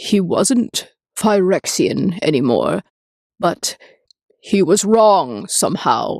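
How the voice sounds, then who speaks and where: A woman puts on a character voice at a medium pitch. She goes very slowly, with long, frequent pauses. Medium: read story. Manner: low, hesitant.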